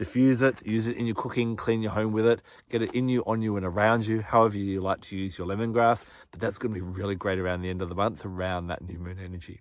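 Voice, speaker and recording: A man with an Australian accent speaks at a very fast pace in a fairly low pitch. The recording is very clean, with a silent background. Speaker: astrology and crystal presenter. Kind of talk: monologue forecast to camera. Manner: animated.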